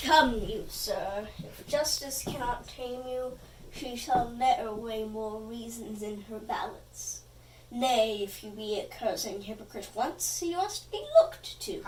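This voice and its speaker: A put-on character voice at a fairly slow pace, over clear background noise. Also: woman, high pitch for a woman. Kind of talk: comic overacting. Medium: stage play. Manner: pompous, confused.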